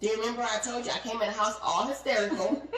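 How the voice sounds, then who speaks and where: With audible room echo and noticeable background noise, a woman speaks fairly quickly in an animated tone, her fairly high voice carrying lively intonation. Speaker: podcast co-host. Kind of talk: heated debate. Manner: fast.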